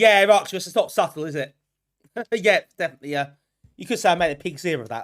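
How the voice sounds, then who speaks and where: Very fast speech in an English accent, broken by long, frequent pauses. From England. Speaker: retro gaming streamer. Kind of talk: live gameplay stream chat. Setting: live stream.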